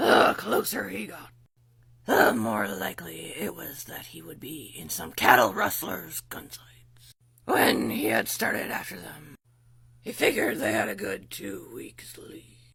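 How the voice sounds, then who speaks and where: A raspy, low-pitched voice moves at a fairly slow pace. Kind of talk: casual story reading. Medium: read story. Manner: laughing, ad-libbing.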